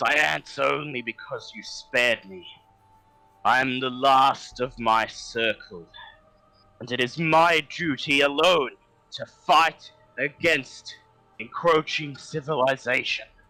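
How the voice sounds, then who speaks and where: Using a put-on character voice, a man sounds gruff at a fairly high pitch, going fairly slowly with long, frequent pauses while faint music plays in the background. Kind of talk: solemn, formal. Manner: gruff, grunting.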